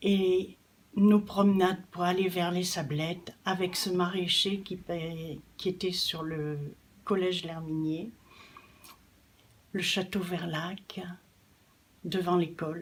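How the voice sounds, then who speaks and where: A woman speaks very slowly at a medium pitch in a monotone, flat intonation, with long, frequent pauses. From northern France. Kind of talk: personal testimony.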